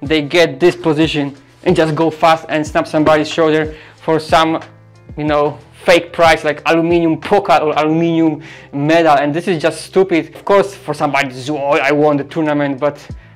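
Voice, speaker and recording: A man at a moderate pace in a monotone, flat intonation, with faint music in the background. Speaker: grappling instructor. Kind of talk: tutorial. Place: gym. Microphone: lapel.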